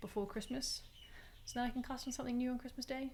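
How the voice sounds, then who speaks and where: A woman's somewhat breathy voice. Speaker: knitting podcaster. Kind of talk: casual chat.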